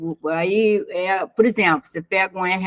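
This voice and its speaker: A woman with an ordinary speaking voice talks at a fairly slow pace in a fairly low pitch, with ordinary pitch variation and a dry, close sound with no echo. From Brazil. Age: 60s. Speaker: business consultant. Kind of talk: casual chat.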